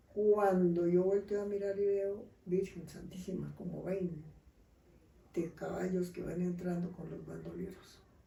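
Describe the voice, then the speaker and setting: Speaking at a fairly slow pace, a woman with a medium pitch and a dark, mellow, somewhat breathy tone keeps a monotone, flat intonation while her loudness swings widely, all with audible room echo. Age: 70s. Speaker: grandmother telling life stories. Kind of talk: storytelling in casual interview.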